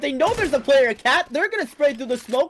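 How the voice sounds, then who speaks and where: An animated tone over noticeable background noise. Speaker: esports caster. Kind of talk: live play-by-play commentary. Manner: fast, animated.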